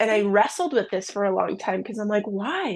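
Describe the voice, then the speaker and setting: A woman at a moderate pace, against a quiet background. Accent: American. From US Midwest, southern Minnesota. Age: 20s. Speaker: ministry founder sharing abortion testimony. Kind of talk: testimony.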